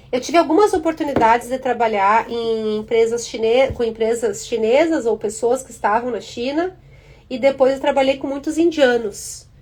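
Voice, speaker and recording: Over noticeable background noise, a woman with a high pitch talks at a moderate pace and ordinary pitch variation. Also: big swings in loudness. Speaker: career and tech content creator. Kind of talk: live stream talk. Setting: Instagram live.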